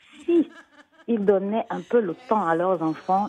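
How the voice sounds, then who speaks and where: A woman speaking at a very slow pace. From Cameroon, raised in Switzerland. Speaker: children's author and storyteller. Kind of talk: interview answer. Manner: hesitant, many fillers.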